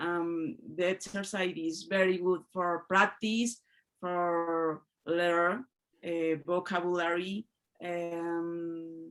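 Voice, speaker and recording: A woman with a Spanish accent speaks very slowly in a fairly low voice, recorded very cleanly against a silent background. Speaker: English learner. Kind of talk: group discussion feedback. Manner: halting.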